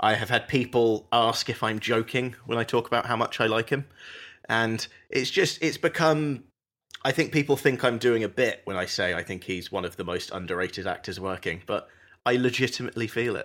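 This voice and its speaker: A man talks at a fairly quick pace. The recording is very clean, and the background is silent. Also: medium pitch for a man, ordinary pitch variation. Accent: British. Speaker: podcast host. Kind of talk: casual chat.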